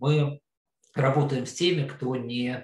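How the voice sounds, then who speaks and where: A man is speaking. His voice is somewhat breathy. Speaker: investment fund founder. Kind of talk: interview.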